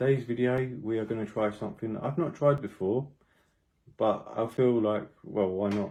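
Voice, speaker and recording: A man with a British accent speaks at a moderate pace in a medium pitch, his dark, mellow tone showing ordinary pitch variation. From Britain. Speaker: food and travel vlogger. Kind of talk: casual vlog talk to camera.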